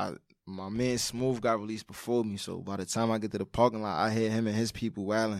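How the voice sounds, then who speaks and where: A man with a fairly low pitch talks at a fairly quick pace in a monotone, flat intonation, on a very clean recording with a silent background. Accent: New York. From Brooklyn, New York. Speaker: former inmate. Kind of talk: interview. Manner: casual.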